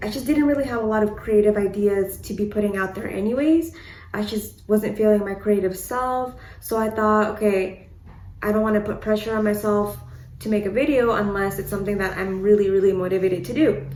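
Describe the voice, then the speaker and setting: A woman talks at a fairly quick pace at a medium pitch with ordinary variation. The room gives off an audible echo. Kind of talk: casual vlog update. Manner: stutters, hesitant.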